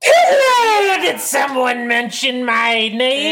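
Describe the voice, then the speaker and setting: Shouting in a put-on character voice, the speaker uses a high pitch at a very slow pace. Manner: overly enthusiastic, weird.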